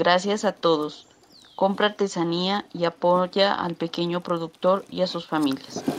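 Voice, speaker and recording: A woman speaks at a fairly slow pace in a fairly low pitch, her intonation flat and monotone. Noticeable background noise is present. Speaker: artisan. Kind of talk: promotional pitch.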